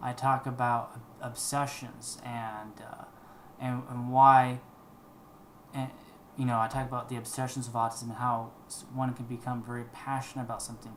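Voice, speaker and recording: A man of medium pitch talks at a moderate pace in a monotone, flat intonation, with long, frequent pauses. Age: 20s. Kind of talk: casual talk to camera.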